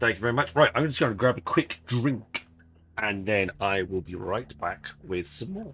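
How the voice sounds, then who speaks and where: A man's bright, sharp voice in an English accent, medium in pitch, with very wide pitch swings at a moderate pace. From English countryside. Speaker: video game streamer. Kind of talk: live gameplay stream chat. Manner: casual, chatty.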